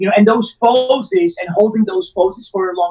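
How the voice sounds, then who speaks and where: Music plays in the background. A man speaks in an Italian accent. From Rome, Italy. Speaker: actor. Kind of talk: casual interview. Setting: remote call from Southern California. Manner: halting, hesitant with fillers.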